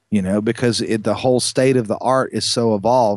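A man with an ordinary speaking voice talks at a moderate pace and medium pitch, the sound dry and close with no echo against a quiet background. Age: 50s. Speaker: lighting parts company co-founder. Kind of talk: interview.

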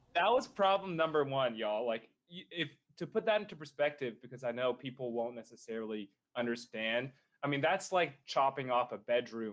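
A man talks fairly quickly in a plain, everyday voice at medium pitch, with lively intonation. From Nashville, Tennessee, US South. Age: 20s. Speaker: real estate investor. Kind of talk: casual interview. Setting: video call from adjacent office.

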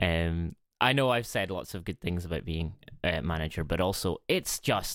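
In a Scottish accent, a man speaks with a very deep, low pitch and ordinary pitch variation. His pace is moderate, and the sound is dry and close with no echo. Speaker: podcast co-host. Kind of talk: casual chat. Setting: remote call over the internet. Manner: speaking quietly.

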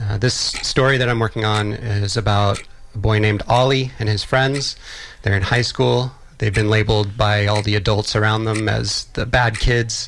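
With an American accent, a man talks at a moderate pace in a monotone, flat intonation, keeping his loudness very even. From Texas, Austin. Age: 40s. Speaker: filmmaker. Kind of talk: interview. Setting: radio studio.

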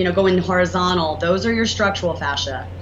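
A Southern US accent amid noticeable background noise and audible room echo. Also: woman. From US South. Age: 40s. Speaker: entrepreneur and inventor. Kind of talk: interview.

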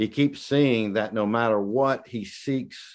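Over a quiet background, a man with a Southern US accent talks at a very slow pace, his medium pitch showing ordinary variation. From US South. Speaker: guest preacher. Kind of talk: sermon. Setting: video call. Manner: halting, with many repetitions and fillers.

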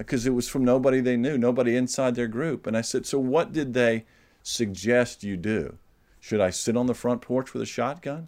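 On a very clean recording with a silent background, a man with an American accent speaks at a medium pitch and moderate pace with ordinary pitch variation. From US South, Georgia. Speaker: novelist and publisher. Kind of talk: interview. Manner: halting.

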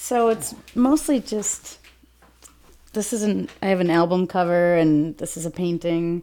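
A woman with a normal speaking voice and an American accent talks at a fairly slow pace. Her pitch is fairly low and her intonation lively. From US Midwest, Saint Paul Minnesota. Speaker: police officer. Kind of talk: casual interview.

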